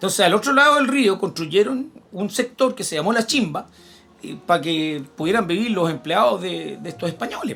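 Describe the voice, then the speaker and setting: A man with a Chilean accent, high in pitch with very wide pitch swings, at a moderate pace with music in the background. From Chile, Santiago. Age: 60s. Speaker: history teacher. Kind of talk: casual chat.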